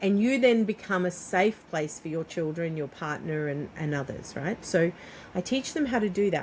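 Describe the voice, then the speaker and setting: A woman's plain, everyday voice with lively intonation at a moderate pace. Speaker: parenting coach and doula. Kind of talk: guided exercise in interview.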